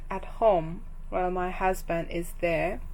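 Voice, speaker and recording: A woman speaks very slowly with a Japanese accent. Audible room echo surrounds her voice. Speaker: knitting vlogger. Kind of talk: casual vlog talk. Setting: hotel room at night. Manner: halting.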